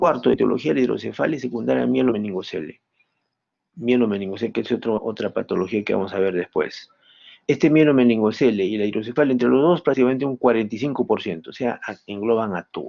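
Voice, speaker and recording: A man rattles along at a very fast pace, medium in pitch with ordinary pitch variation. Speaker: medical professor. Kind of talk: lecture.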